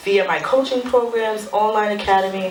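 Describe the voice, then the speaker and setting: A woman at a medium pitch and moderate pace, with noticeable background noise. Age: 30s. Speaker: motivational speaker and author. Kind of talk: live talk with book reading. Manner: casual, conversational.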